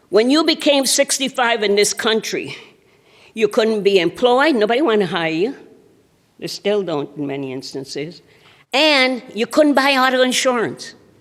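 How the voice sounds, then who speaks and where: Vocal fry and very wide pitch swings at a moderate pace, with an American accent. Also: woman, fairly high pitch for a woman, very clean recording, silent background. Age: 70s. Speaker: national volunteer president of an older adults' association. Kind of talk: keynote speech. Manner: animated.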